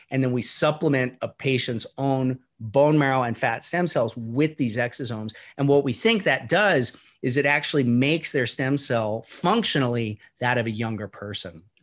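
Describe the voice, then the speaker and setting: A man speaks in a normal speaking voice at a moderate pace, his pitch medium with ordinary variation. The background is quiet. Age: 50s. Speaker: stem cell physician. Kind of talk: interview. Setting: remote call.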